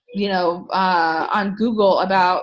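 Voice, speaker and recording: The voice belongs to a woman. She keeps her intonation fairly even. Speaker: network marketing team leader. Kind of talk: group training talk. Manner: casual, halting with fillers.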